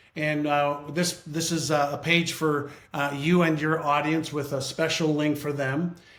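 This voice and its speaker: A man's voice with monotone, flat intonation and audible room echo. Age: 60s. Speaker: author and brain-training business leader. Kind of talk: interview.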